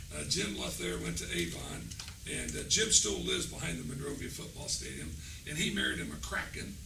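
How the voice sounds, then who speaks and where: A man with a very deep, low pitch talks at a fairly quick pace with ordinary pitch variation, with noticeable background noise and audible room echo around him. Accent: American. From Indianapolis, Indiana, US Midwest. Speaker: school superintendent. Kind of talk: talk to a school board work session. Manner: casual, halting with repeats.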